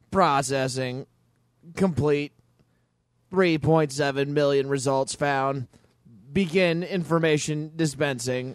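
Putting on a robotic character voice, a man with a fairly high pitch speaks at a very slow pace with long, frequent pauses. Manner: monotone, flat.

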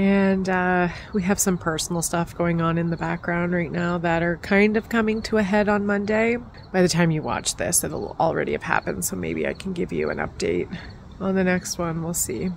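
Against light background noise, a woman with a plain, everyday voice speaks at a moderate pace and a fairly low pitch, with ordinary pitch variation and a dry sound with no echo. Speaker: gardening vlogger. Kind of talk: casual vlog chat. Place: garden. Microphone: phone near.

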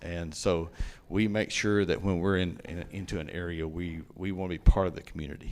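Moderate pace and fairly even intonation, with a Southern US accent. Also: man. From East Tennessee, US South. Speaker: railroad company executive. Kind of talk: public meeting Q&A. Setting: county commission meeting.

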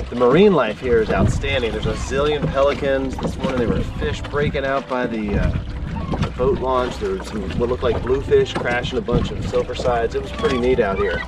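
Delivered at a fairly quick pace, the dry sound with no echo sits over loud background noise. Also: man. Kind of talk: casual vlog chat. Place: boat. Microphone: phone near.

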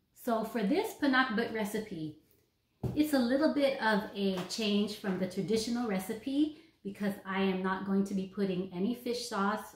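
Moderately paced speech from a woman, with audible echo in the room. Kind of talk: tutorial. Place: kitchen. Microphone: camera far.

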